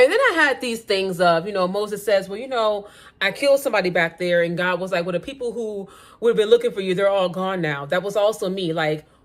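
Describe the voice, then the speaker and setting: This woman's voice sits at a medium pitch and carries an animated tone. Her pitch varies in an ordinary way. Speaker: faith vlogger. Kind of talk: casual faith talk to camera. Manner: loud, blunt.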